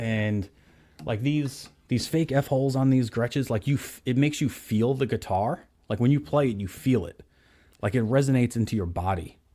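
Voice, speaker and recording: In a New York accent, a man speaks at a medium pitch with a dark, mellow tone. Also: ordinary pitch variation, moderate pace, very clean recording, silent background. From New York, Staten Island. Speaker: guitar gear video host. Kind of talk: casual chat.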